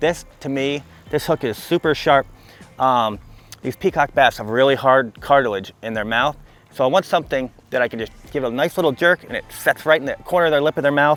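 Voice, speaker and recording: A man with an American accent has an ordinary speaking voice at medium pitch and ordinary pitch variation. He talks at a fairly quick pace, with a dry, close sound and no echo. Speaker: fishing guide and outdoors video host. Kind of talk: outdoor fishing tutorial. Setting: outdoors by a canal.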